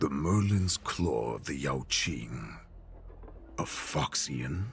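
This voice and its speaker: In a put-on character voice, a man speaks very slowly with a very deep, low pitch over clear background noise. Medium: video game. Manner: imperious, contemptuous.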